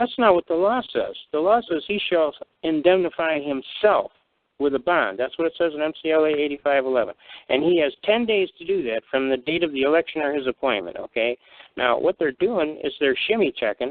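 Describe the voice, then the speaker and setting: A man with a normal speaking voice, fairly high pitch, lively intonation, and a fairly quick pace. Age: 60s. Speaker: constitutional law speaker. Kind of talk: call-in radio discussion.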